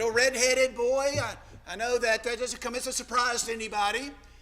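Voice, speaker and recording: A man with an American accent uses a raised, projected voice at an extremely high pitch. He keeps a moderate pace amid audible room echo. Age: 60s. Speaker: preacher. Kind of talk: sermon. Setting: church.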